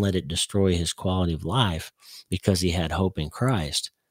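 Against a silent background in a very clean recording, a man with a very deep, low voice and an American accent speaks at a moderate pace. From Oklahoma, US. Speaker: neurosurgeon and author. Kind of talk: radio interview.

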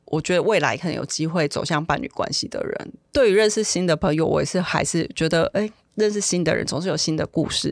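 A woman's unremarkable speaking voice, fairly low in pitch, at a fairly quick pace with ordinary pitch variation. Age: 40s. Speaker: office worker. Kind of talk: interview.

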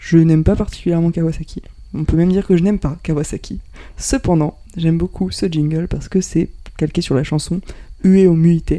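Her voice fairly low with a dark, mellow tone, a woman speaks at a moderate pace with fairly even intonation. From central France (Touraine, Cantal, Aveyron). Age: 20s. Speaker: office worker at an energy company. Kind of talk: casual chat.

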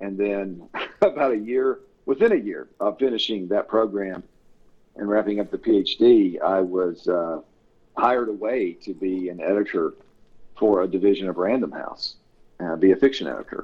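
With a Tennessee accent, a man with a fairly low pitch speaks at a moderate pace. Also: ordinary pitch variation. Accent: Southern US (Tennessee). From US South, Tennessee. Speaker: author and editor. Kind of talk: casual interview.

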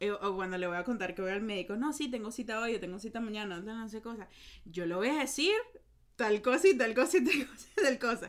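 A woman talks very fast at fairly high pitch, her intonation lively and her loudness swinging widely. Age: 20s. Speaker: podcast host. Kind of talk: casual chat.

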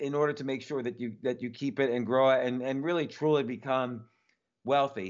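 A man speaks in an unremarkable speaking voice, fairly high in pitch, at a moderate pace with ordinary pitch variation. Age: 50s. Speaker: entrepreneur and author. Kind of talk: interview.

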